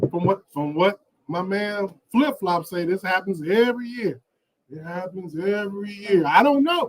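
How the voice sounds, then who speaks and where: A man at a moderate pace, high in pitch, with ordinary pitch variation and big swings in loudness. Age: 50s. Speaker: YouTube vlogger. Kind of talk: live stream Q&A. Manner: casual, repetitive.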